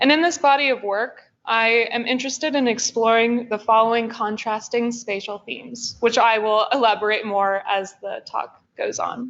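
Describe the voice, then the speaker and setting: With an American accent and a plain, everyday voice, a woman speaks at a moderate pace with hardly any pauses, using a fairly high pitch and ordinary pitch variation. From US Pacific Northwest, Olympia, Washington. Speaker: MFA student artist. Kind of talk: artist talk presentation.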